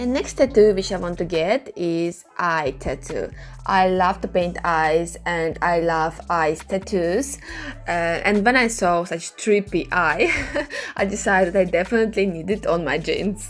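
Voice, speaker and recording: Over noticeable background noise, a woman speaks with a Russian accent at a fairly low pitch. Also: ordinary pitch variation, fairly slow pace. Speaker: clothing customizer, artist. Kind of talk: tutorial.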